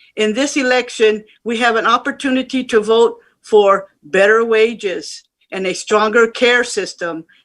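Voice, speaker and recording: On a very clean recording with a silent background, a woman uses an ordinary speaking voice at a fairly high pitch with ordinary pitch variation. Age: 60s. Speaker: home care worker. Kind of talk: personal testimony at virtual rally. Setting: virtual rally.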